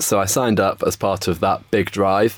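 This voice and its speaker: With a London accent, a man speaks at a moderate pace in a fairly low pitch, his intonation monotone and flat. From England, north-west London. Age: 20s. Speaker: stem cell donor. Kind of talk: interview.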